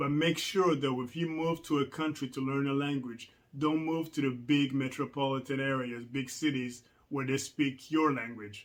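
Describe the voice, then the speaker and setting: At a moderate pace, a man with a Rwandan accent speaks in a fairly high pitch with fairly even intonation. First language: Kinyarwanda. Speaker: language learning vlogger. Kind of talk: casual vlog tutorial. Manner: casual with many fillers.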